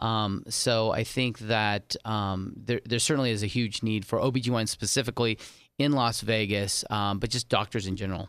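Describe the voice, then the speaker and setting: A plain, everyday voice: man with an American accent, fairly low pitch, fairly even intonation and a moderate pace, on a very clean recording with a silent background. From California, San Diego. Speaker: gynecologist. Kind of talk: interview. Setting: studio.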